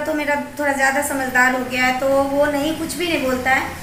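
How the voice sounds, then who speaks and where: Noticeable background noise sits behind a woman whose high pitch carries ordinary pitch variation at a moderate pace. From Bihar, India. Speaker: vlogger. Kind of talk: casual talk to camera.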